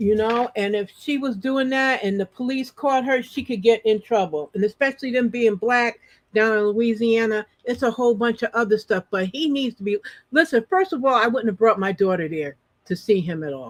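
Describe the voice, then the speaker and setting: A woman speaks at a moderate pace in a fairly high pitch, with lively intonation and an animated tone, the sound dry and close with no echo. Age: 50s. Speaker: online talk show host. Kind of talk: casual chat.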